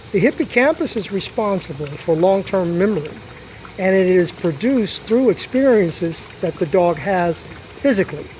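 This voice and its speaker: A high-pitched man at a moderate pace, with ordinary pitch variation and noticeable background noise. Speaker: dog trainer. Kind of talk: live commentary explaining dog behavior. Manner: soft-spoken.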